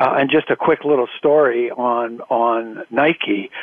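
A man's medium-pitched voice with an American accent, over noticeable background noise. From US, Philadelphia and California. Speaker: professional association board chair. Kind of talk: interview.

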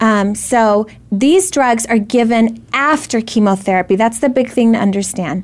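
A woman with a normal speaking voice talks at a moderate pace, her fairly high pitch showing ordinary variation and her loudness very even. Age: 30s. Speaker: ovarian cancer survivor and foundation founder. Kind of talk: interview. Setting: live video stream.

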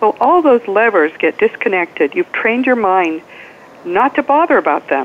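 Noticeable background noise accompanies a woman whose fairly high pitch makes very wide swings as she talks at a moderate pace. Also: very even loudness. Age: 70s. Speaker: attorney and afterlife author. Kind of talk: interview. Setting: phone call.

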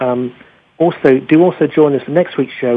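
A man talks at a fairly quick pace with a medium pitch. His voice has a slightly husky edge and fairly even intonation.

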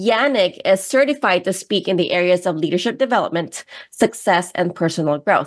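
A moderate pace paired with lively intonation. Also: woman. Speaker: radio co-host. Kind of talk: radio talk show. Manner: enthusiastic.

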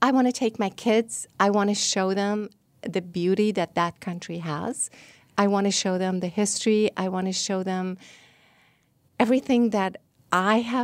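With a Persian accent, a woman speaks at a moderate pace and medium pitch with ordinary variation, leaving long, frequent pauses in a very clean recording with a silent background. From Iran. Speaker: travel agent. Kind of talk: interview. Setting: studio.

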